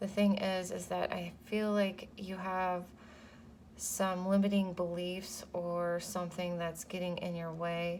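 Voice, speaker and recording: A quiet woman with a medium pitch and monotone, flat intonation, speaking at a fairly slow pace with audible room echo. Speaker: tarot reader. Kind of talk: tarot reading. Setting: home. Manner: hesitant, many fillers.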